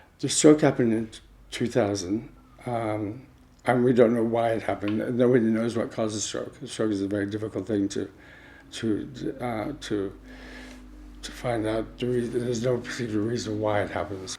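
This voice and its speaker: Using fairly even intonation, a man with a dark, mellow tone speaks at a moderate pace. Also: medium pitch for a man. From California. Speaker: author. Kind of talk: interview testimony. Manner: halting, speech impaired after stroke.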